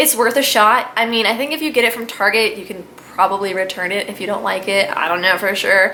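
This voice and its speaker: At a fairly quick pace, a woman with medium pitch and ordinary pitch variation talks amid noticeable background noise and audible room echo. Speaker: beauty vlogger. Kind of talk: casual product review vlog. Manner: fast; chatty, rambling with fillers.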